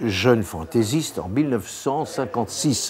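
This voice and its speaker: A medium-pitched man at a very slow pace with very wide pitch swings, amid noticeable background noise. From Belgium, Antwerp. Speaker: actor. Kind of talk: scripted narration.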